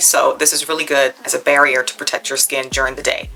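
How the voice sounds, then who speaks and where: Music can be heard underneath. The speaker is a woman. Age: 40s. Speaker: beauty vlogger. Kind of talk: tutorial. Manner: casual, conversational.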